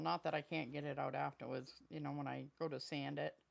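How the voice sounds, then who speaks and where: A woman with a very deep, low pitch and vocal fry, at a fairly quick pace with fairly even intonation. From Maine, US. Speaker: craft live streamer. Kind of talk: live stream crafting tutorial. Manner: casual, chatty. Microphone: new microphone to reduce noise.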